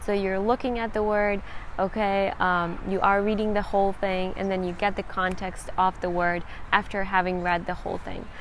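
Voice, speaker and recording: In a Ukrainian accent, a woman speaks at medium pitch and a moderate pace, her intonation monotone and flat. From Central Ukraine. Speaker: language-learning vlogger. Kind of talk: tutorial.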